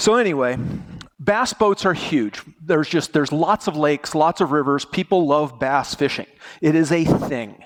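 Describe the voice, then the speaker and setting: A man with an American accent, a normal speaking voice and lively intonation at a moderate pace. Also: fairly high pitch for a man. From United States. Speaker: conference speaker, database presenter. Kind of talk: technical conference talk. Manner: casual, joking.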